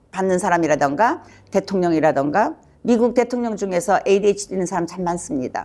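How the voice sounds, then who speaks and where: A woman talks with very wide pitch swings. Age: 70s. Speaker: psychiatrist. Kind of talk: educational talk. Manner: casual, with fillers.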